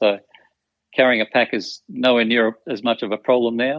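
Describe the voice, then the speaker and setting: With an Australian accent, a man talks at a fairly quick pace. His medium pitch carries fairly even intonation. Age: 60s. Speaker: retired teacher and hiker. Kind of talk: podcast interview.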